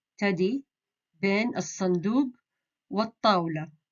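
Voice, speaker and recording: A woman with a Jeddah accent talks at a very slow pace. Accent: Hijazi Saudi Arabic, Jeddah. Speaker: Arabic dialect teacher. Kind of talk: beginner language lesson.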